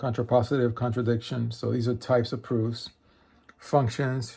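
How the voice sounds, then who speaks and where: Somewhat breathy, a man speaks at medium pitch and a fairly slow pace. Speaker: math self-study video creator. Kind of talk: casual book review. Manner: halting with fillers.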